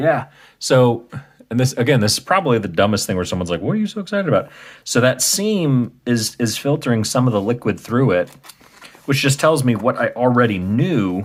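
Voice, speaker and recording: A man with a Midwestern US accent and very wide pitch swings. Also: medium pitch for a man, fairly quick pace. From US Midwest. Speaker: video game restoration youtuber. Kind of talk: tutorial. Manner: casual, hesitant with fillers.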